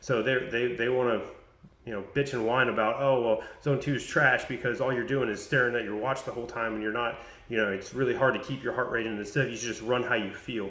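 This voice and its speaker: Speaking at a very fast pace, a man keeps fairly even intonation at a medium pitch, with audible room echo. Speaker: fitness coach. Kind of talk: casual tutorial vlog.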